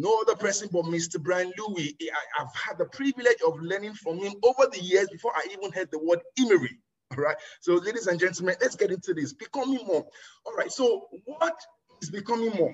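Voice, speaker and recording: A man speaks loudly in a high pitch. His tone is animated and his intonation lively. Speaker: network marketing trainer. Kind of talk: motivational training talk.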